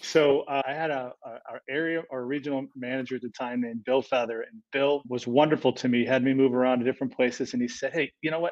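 Against a quiet background, a man with a plain, everyday voice and an American accent speaks at a fairly quick pace and fairly high pitch, in a dry, close sound with no echo. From upstate New York, Rochester. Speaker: HR executive. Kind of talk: interview.

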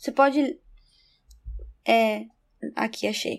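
Against a silent background in a very clean recording, a woman talks with fairly even intonation. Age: 20s. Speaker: lawyer. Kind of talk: casual Bible study discussion.

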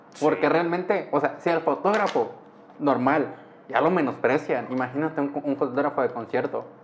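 With ordinary pitch variation and very even loudness, a man speaks at a moderate pace and a fairly high pitch against noticeable background noise. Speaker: podcast host. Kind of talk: casual chat.

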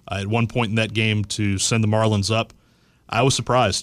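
Monotone, flat intonation marks this man's fairly low voice at a moderate pace. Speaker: baseball fan, sports commentator. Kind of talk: casual sports chat. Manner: conversational, hesitant with fillers.

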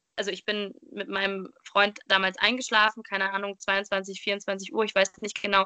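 Medium pitch from a woman, with a bright, sharp tone, a moderate pace and a dry, close sound with no echo. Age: 20s. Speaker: podcast host, trained educator. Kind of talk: interview guest telling life story. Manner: hesitant, many filler sounds.

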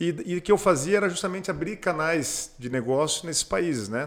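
A man with an unremarkable speaking voice, fairly quick pace and lively intonation. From southwestern Paraná, Brazil (Pato Branco). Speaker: businessman and state politician. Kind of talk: casual interview.

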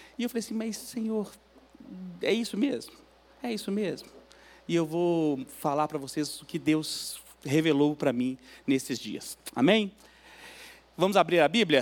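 Lively intonation marks this man's high-pitched voice. He speaks at a fairly slow pace with long, frequent pauses. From Minas Gerais, Belo Horizonte. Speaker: guest preacher, church guitarist. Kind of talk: sermon. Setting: church.

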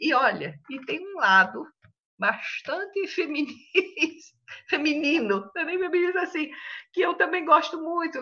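Very slow delivery with long, frequent pauses, lively intonation, and a raised, projected voice of bright, sharp tone. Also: woman. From Brazil, interior of São Paulo state (Tanabi). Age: 70s. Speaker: retired teacher and writer. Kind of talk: interview.

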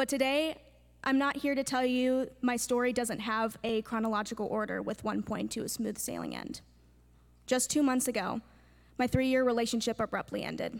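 An ordinary speaking voice from a woman, fairly high in pitch, with fairly even intonation, a moderate pace, and a very clean recording over a silent background. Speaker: college student. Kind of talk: testimony.

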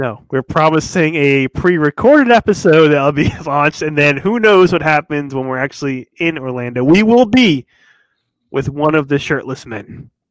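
A man with an American accent and an unremarkable speaking voice talks at a moderate pace and a fairly high pitch. His intonation is lively, and the sound is dry and close with no echo. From Massachusetts (Newburyport area). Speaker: podcast co-host. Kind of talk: casual chat.

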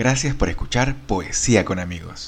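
A man talks in a plain, everyday voice. His pace is fairly slow and his pitch variation ordinary. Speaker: podcast host. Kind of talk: podcast intro and outro, scripted-sounding welcome. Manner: warm, friendly, formal.

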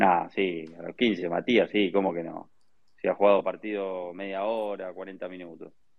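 A man with a very deep, low voice talks at a fairly slow pace in a monotone, flat intonation, with big swings in loudness. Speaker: football news panelist. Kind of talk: casual chat.

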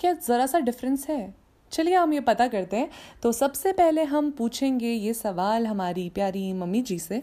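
A dark, mellow tone with lively intonation, on a very clean recording with a silent background. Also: woman. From Uttarakhand, Garhwal hills. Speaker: podcast host. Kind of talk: casual podcast monologue.

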